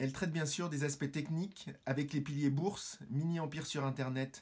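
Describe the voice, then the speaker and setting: Against a quiet background, a man with a fairly high voice talks at a fairly slow pace with fairly even intonation. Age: 50s. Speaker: business owner, course student. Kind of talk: testimonial. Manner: formal. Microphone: phone near.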